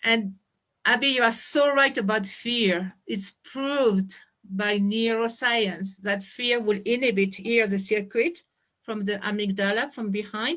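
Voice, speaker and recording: Someone with a French accent speaks at a fairly slow pace with ordinary pitch variation. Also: woman, fairly high pitch for a woman. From France. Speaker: anthropologist and education founder. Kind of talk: presentation on video call. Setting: video call.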